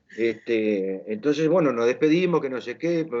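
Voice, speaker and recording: This clip has a man talking. His pitch makes very wide swings. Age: 60s. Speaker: interviewer. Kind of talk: casual interview chat. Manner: hesitant, many fillers.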